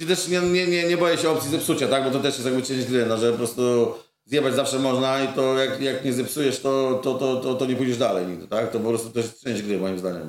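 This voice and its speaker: With audible room echo, a man speaks at a medium pitch and a fairly quick pace, his pitch varying in an ordinary way. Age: 40s. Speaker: muralist painter. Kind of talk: casual chat. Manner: halting, many fillers.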